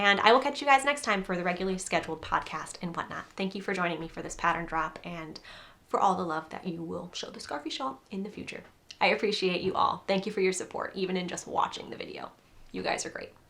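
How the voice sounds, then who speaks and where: Talking very fast, a woman uses a medium pitch and an animated tone. Her intonation is lively, and her loudness swings widely. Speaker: crochet designer and podcaster. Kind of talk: casual video chat, pattern release. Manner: animated, giddy.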